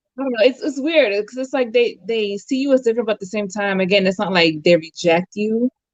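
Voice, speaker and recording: With a normal speaking voice, a woman with an American accent talks at a fairly quick pace and fairly high pitch, with lively intonation, hardly any pauses, and a dry, close sound with no echo. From US, Dominican family. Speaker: guest on a live-stream discussion. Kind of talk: casual chat.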